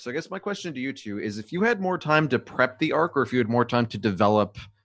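Very fast speech from a man at medium pitch, with very wide pitch swings, over a quiet background. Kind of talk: casual chat, live stream. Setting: live Twitch stream, video call.

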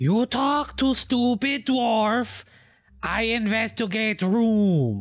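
Using a put-on character voice, a man speaks at a very slow pace in a high pitch on a very clean recording with a silent background. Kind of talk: broken, simple speech. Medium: actual play. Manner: blunt, crude, gruff.

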